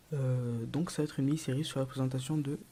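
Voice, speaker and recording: Soft-spoken and somewhat breathy, a man talks at a moderate pace with a fairly high pitch, a dark, mellow tone and fairly even intonation. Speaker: gaming youtuber. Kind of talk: gameplay commentary. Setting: at home late at night. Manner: hesitant.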